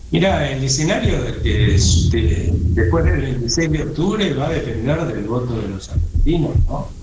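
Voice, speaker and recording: Audible room echo and noticeable background noise surround a man speaking at a fairly slow pace with hardly any pauses. His pitch is medium, with very wide swings. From Argentina. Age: 60s. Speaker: economist, think tank director. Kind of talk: radio interview.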